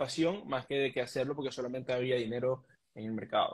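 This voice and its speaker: At a fairly quick pace, a man speaks at a fairly high pitch. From Venezuela, Mérida; Venezuela. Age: 20s. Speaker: trader, immigrant; interview guest. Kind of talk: interview. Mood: calm, reflective, motivational. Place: home room. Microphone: video call.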